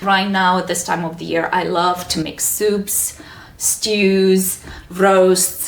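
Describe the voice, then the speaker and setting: A woman's medium-pitched voice in a Romanian accent, very slow and monotone with flat intonation, amid noticeable background noise and audible room echo. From Romania (Sibiu, Transylvania). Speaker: wellness coach and cooking teacher. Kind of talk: interview.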